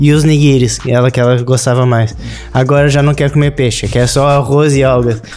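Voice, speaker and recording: A man speaks at a moderate pace in a flat monotone, his loudness very even, with music playing behind him. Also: medium pitch for a man. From southern Brazil, Rio Grande do Sul. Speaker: sushi chef. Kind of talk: interview conversation.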